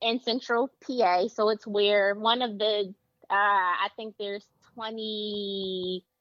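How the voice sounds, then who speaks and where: In a Philadelphia accent, a woman speaks at a very slow pace. Her medium-pitched voice has monotone, flat intonation. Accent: Philadelphia American English. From Philadelphia, US. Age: 30s. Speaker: mental health counselor. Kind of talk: casual chat.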